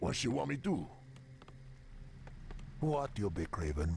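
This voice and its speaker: A man puts on a character voice, pitched very deep and low, speaking at a fairly slow pace over clear background noise. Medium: video game. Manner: relaxed, broken grammar.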